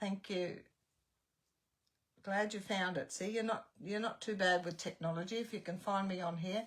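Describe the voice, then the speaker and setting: A woman with an Australian accent speaks at a moderate pace and medium pitch. Her intonation stays fairly even, broken by long, frequent pauses. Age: 70s. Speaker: craft tutor. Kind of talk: live-stream chat and craft tutorial. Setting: live stream.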